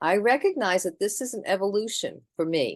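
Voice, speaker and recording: A woman with an ordinary speaking voice talks at a moderate pace and medium pitch, with ordinary pitch variation against a quiet background. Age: 60s. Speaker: twelve-step meeting speaker. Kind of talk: testimony. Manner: conversational.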